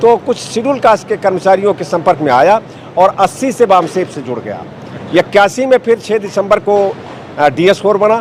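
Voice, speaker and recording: Noticeable background noise behind a man's high-pitched voice, lively in intonation and moderate in pace. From northern India, Bahraich district (Uttar Pradesh). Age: 70s. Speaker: retired lawyer and political activist. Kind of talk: interview.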